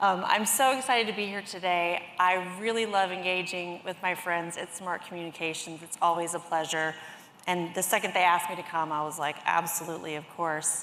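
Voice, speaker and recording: Amid audible room echo, a woman with an American accent speaks fairly quickly at a fairly low pitch with fairly even intonation. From US South, Greenville, South Carolina. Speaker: industry analyst. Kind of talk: conference presentation.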